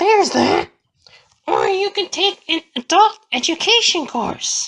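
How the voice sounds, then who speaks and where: A man squeaks out a put-on character voice at an extremely high pitch and a fairly slow pace. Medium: solo performance. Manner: gentle.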